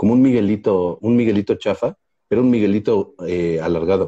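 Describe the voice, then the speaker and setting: Recorded dry and close with no echo, a man with a dark, mellow, fairly low voice speaks at a moderate pace with lively intonation. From Mexico. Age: 40s. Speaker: comedian podcast co-host. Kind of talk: casual chat. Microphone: bad connection, freezing.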